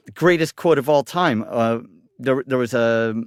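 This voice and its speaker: A man with a plain, everyday voice, ordinary pitch variation and a moderate pace, dry and close with no echo on a very clean recording with a silent background. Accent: American. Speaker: football supporters club organizer. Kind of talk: casual chat. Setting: studio.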